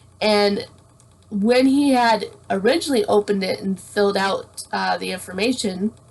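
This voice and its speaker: This woman has a Canadian accent and a medium pitch with ordinary variation. She speaks at a moderate pace over noticeable background noise. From Canada. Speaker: blind YouTuber. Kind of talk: casual chat.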